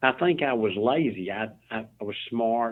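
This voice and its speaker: This man speaks with a Southern US accent. His pitch is medium. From US South, Memphis, Tennessee. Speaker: CEO, author and motivational speaker. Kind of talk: interview conversation.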